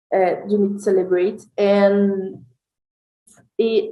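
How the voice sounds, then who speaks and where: Speaking at a fairly slow pace in a Brazilian Portuguese accent, a woman uses a medium pitch and a dark, mellow tone. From Brazil, Rio de Janeiro. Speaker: NGO advocacy director. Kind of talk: interview. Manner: halting.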